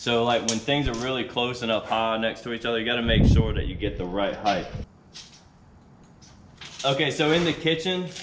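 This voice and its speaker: A man's voice with light background noise and audible room echo. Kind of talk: tutorial. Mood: casual, relaxed. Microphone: camera far.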